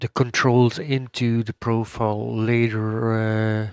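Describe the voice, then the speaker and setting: Speaking very slowly with a Dutch accent, the man has a medium-pitched voice. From Netherlands. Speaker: gaming YouTuber. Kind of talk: gameplay tutorial. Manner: hesitant, many fillers.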